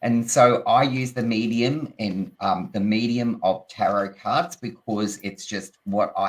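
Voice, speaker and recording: Speaking with an Australian accent, a man talks at a medium pitch. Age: 60s. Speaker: tarot reader and teacher. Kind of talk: casual chat.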